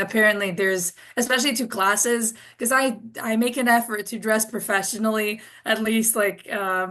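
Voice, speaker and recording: A woman speaks with a slight European accent at a fairly high pitch. Her pitch variation is ordinary and her pace moderate. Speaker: international student panelist, tour guide. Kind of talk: Q&A panel answer.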